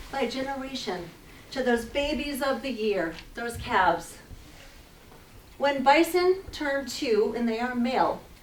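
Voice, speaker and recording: Over noticeable background noise and audible room echo, a woman speaks at a high pitch in an animated tone at a fairly slow pace. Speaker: naturalist guide giving a wildlife presentation. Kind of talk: public lecture with slides.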